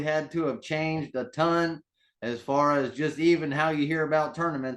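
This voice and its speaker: A man speaks in a plain, everyday voice, fairly high in pitch. His pace is moderate and his intonation fairly even. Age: 30s. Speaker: interviewer. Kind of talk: interview.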